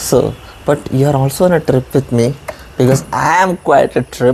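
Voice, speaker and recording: With an Indian accent, a man talks at a moderate pace in a fairly high pitch, with ordinary pitch variation and very even loudness over noticeable background noise. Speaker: vlogger. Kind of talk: casual vlog monologue. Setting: outdoors.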